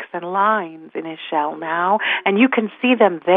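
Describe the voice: Unadorned read-aloud speech, pitch moving in a normal range.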